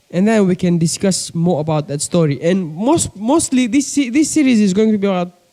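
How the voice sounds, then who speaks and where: With a Kenyan coastal accent and a dark, mellow tone, a man speaks at a fairly quick pace. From Kenya, Mombasa coast. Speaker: pigeon breeder, vlogger. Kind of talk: casual vlog monologue. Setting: bedroom at a desk, on camera. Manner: casual, repetitive fillers.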